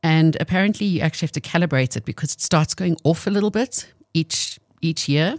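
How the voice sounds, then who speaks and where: A woman talks at a fairly quick pace with lively intonation in an unremarkable speaking voice. Her pitch is fairly low, and the sound is dry and close with no echo. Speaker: radio co-host. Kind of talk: casual radio chat.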